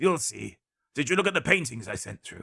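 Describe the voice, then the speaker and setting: In a put-on character voice, the raspy speaker moves at a fairly quick pace with very wide pitch swings and big swings in loudness. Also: man. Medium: read story.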